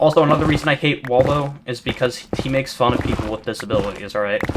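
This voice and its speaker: Over noticeable background noise, a man at medium pitch keeps his intonation fairly even. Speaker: gaming YouTuber. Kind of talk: casual gameplay commentary. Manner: monotone; rambling stammering chatter.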